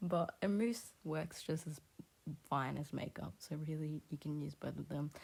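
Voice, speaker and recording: The speaker goes at a fairly slow pace with a non-native accent. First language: not English. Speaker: beauty vlogger. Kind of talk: tutorial. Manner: casual, chatty.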